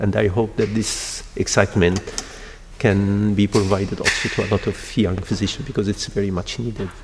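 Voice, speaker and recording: A man's fairly low, monotone, flat voice at a moderate pace over noticeable background noise. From Egypt. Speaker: endocrinologist and stem cell researcher. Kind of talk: interview. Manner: halting.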